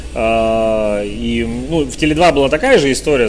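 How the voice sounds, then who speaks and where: A man speaks with music in the background. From Russia, Urals (Chelyabinsk). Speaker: entrepreneur, business mentor. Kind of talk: interview. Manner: hesitant, many fillers.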